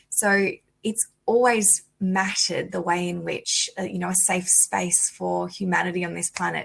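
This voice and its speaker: The pace is moderate. It is a woman with an Australian accent. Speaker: lawyer, conference panelist. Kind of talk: conference panel talk.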